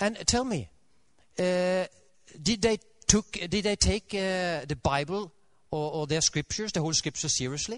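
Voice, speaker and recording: A man with a Norwegian accent speaks at a moderate pace and a high pitch, pausing long and often, in a dry, close sound with no echo. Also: ordinary pitch variation. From Norway. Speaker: Adventist preacher. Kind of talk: sermon. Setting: church. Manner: halting, with many fillers.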